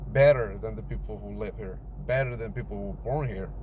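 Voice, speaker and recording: A man speaks with a Mexican accent. Audible room echo colors the recording. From Mexico. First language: Spanish. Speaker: immigrant sharing life story. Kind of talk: personal testimony. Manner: casual, with repetitions and false starts.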